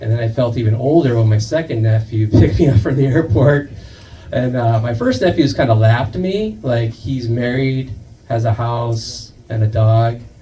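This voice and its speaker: A man with an American accent at a moderate pace, ordinary pitch variation, noticeable background noise and audible room echo. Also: medium pitch for a man. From US, raised by Indian parents. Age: middle-aged. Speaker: comedian. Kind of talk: stand-up. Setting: stage with audience.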